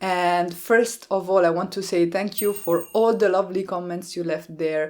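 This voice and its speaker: In an Italian accent, a woman talks at a moderate pace on a very clean recording with a silent background. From Italy, small town near Rome. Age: 30s. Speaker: card-making YouTuber. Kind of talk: Q&A vlog.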